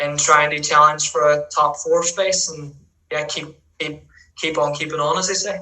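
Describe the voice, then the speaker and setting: In a strong Northern Irish accent, a man speaks at a moderate pace with a fairly high pitch and fairly even intonation. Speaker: futsal player, national team captain. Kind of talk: podcast interview.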